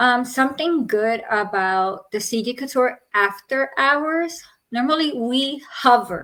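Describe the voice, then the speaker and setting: Loud woman at a high pitch, a very slow pace and ordinary pitch variation. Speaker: podcast host. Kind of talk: casual chat. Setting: live stream. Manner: animated.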